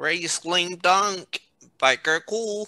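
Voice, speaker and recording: The speaker puts on a character voice. Its pitch stays in the middle range. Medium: read story.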